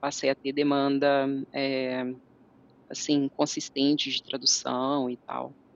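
A woman speaking at a very slow pace. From Brazil, interior of Minas Gerais. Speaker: translator and interpreter. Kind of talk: casual interview. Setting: video call.

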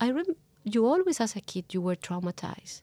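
With a Spanish accent, a woman speaks in a somewhat breathy voice with a dark, mellow tone and ordinary pitch variation, recorded dry and close with no echo. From Colombia. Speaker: journalist. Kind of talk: interview. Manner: halting.

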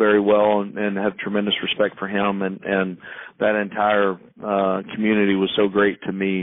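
With an American accent and a normal speaking voice, a man speaks at a moderate pace in a fairly low pitch. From Missouri. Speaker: college football head coach. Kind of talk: interview.

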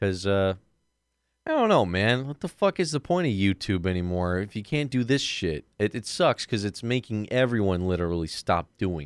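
An ordinary speaking voice with lively intonation comes through with a dry, close sound with no echo on a very clean recording with a silent background. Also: man, fairly low pitch for a man, moderate pace. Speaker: podcast host. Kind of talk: casual banter podcast chat. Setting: studio.

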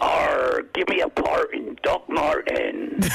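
This man talks at a fairly slow pace. His put-on character voice sits at an extremely high pitch.

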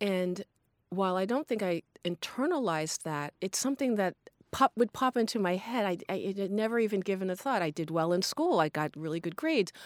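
With an American accent, a woman talks in a plain, everyday voice at medium pitch and a fairly quick pace. Her intonation is lively, and the recording is very clean, dry and close, with a silent background and no echo. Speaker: alumna. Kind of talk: casual chat.

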